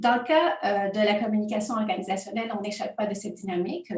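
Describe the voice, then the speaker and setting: A woman's medium-pitched voice with a non-native accent, ordinary pitch variation and a fairly quick pace, amid noticeable background noise and audible room echo. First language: not French (speaking French). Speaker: university researcher. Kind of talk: academic conference presentation. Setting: home office, remote conference. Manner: hesitant, many fillers.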